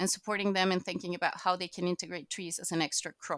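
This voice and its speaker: A woman with a Spanish accent speaks at medium pitch on a very clean recording with a silent background and a dry, close sound with no echo. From Chile. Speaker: agricultural knowledge exchange manager. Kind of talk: casual interview.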